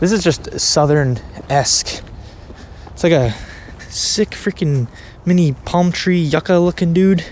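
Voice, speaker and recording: A man with an American accent, dry sound with no echo, light background noise. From Delaware, US. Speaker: fishing YouTuber. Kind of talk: casual vlog narration. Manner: animated. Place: open country. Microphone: phone near.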